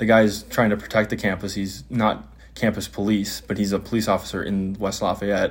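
An ordinary speaking voice from a man with an American accent, fairly low in pitch, with fairly even intonation. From Wisconsin, US. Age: 20s. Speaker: solo podcaster and road tripper. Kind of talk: casual solo monologue, travel diary. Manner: casual, rambling, self-deprecating.

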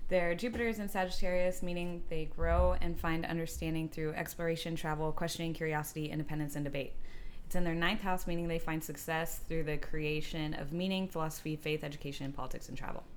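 A woman's fairly low-pitched voice at a very fast pace, with hardly any pauses. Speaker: podcast co-host. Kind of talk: casual chat. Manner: animated.

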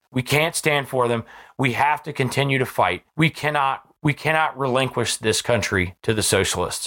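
Loud and animated, a man with an American accent speaks at a moderate pace in a fairly high pitch, his bright, sharp tone touched with vocal fry, in a very clean recording with a silent background. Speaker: podcast host. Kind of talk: political commentary.

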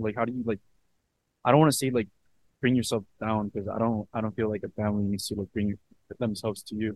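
A man talks at a very fast pace in a fairly low pitch, with fairly even intonation. Long, frequent pauses break up his speech. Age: 20s. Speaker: podcast host and student salesman. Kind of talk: casual interview.

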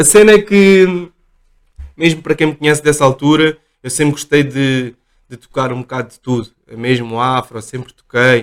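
An ordinary speaking voice from a man, fairly high in pitch, with ordinary pitch variation and big swings in loudness. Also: moderate pace. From Portugal, Lisbon area. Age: 30s. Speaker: DJ. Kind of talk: casual chat.

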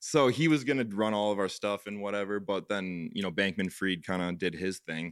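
An ordinary speaking voice, a man's, fairly low in pitch with ordinary pitch variation, at a fairly quick pace with hardly any pauses, on a very clean recording with a silent background. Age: 20s. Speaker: property management company co-founder. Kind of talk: casual chat.

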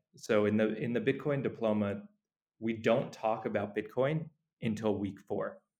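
A man speaks in a plain, everyday voice at medium pitch, keeping a moderate pace and fairly even intonation. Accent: American. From New York. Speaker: nonprofit founder, Bitcoin educator. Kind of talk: interview.

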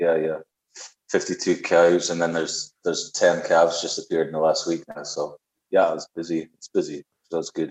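A man with a Scottish accent speaks at a moderate pace with big swings in loudness. The sound is dry and close, with no echo. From Scotland. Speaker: musician. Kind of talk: casual chat. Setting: video call.

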